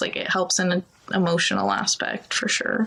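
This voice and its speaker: A woman talks over noticeable background noise. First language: Ukrainian. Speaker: TV news producer. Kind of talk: casual chat. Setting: podcast.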